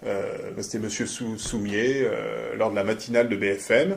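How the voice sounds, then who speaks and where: Amid noticeable background noise and audible room echo, a man speaks very slowly at a medium pitch. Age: 30s. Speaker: company founder and CEO. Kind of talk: corporate testimonial interview. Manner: hesitant, many fillers and repetitions.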